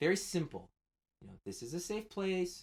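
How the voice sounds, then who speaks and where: A man's fairly high pitch with lively intonation. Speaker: community volunteer trainer. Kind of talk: training video. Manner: fast.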